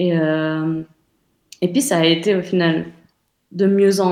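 This woman has a dark, mellow tone at a medium pitch. Her pace is very slow. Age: 30s. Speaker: interview guest sharing personal sex life. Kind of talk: casual interview.

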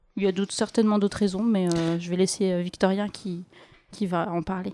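In a dry, close recording with no echo, a woman speaks at a medium pitch and moderate pace, her tone dark and mellow and her intonation fairly even. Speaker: podcast co-host. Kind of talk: casual chat.

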